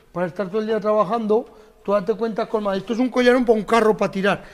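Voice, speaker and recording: A very fast man's voice, high-pitched, amid noticeable background noise. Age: 50s. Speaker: farmer. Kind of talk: casual chat.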